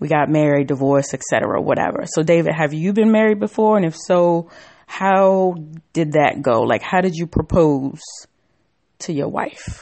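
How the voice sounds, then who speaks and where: In an unremarkable speaking voice, a woman with fairly low pitch talks at a moderate pace with ordinary pitch variation. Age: 30s. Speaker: podcast host. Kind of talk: casual chat.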